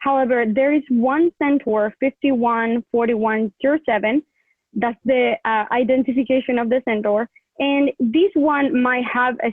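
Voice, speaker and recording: Talking at a fairly slow pace, a woman with a non-native accent uses a high pitch and ordinary pitch variation. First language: not English. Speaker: student research presenter. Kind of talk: presentation. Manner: halting.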